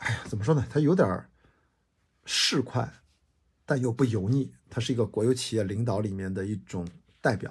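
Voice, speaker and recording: The voice is somewhat breathy and animated in tone, with ordinary pitch variation. It moves at a moderate pace with long, frequent pauses. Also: man, medium pitch for a man. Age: 40s. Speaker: podcast host. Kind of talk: solo monologue.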